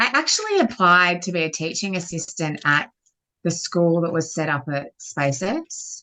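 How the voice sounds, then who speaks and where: A woman with an Australian accent speaks at a moderate pace in a fairly low pitch. Her tone is bright and sharp, and her pitch varies in an ordinary way. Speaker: guest commentator. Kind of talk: casual chat.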